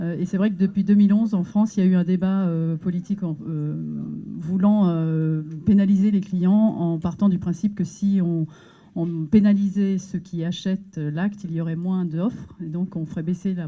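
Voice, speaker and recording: A woman's fairly even intonation over noticeable background noise. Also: fairly low pitch for a woman, moderate pace. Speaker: NGO staff member presenting research. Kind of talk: conference talk. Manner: hesitant, many filler words.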